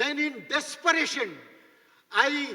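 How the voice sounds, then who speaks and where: A man speaks in a raised, projected voice at an extremely high pitch, very slowly and with fairly even intonation. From India, East Bengal. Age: 70s. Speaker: bishop, guest preacher. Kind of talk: sermon.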